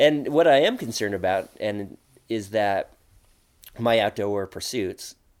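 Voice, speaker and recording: An ordinary speaking voice, a man with an American accent, fairly slow, with ordinary pitch variation on a very clean recording with a silent background. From Oregon high desert. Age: 40s. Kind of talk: casual interview.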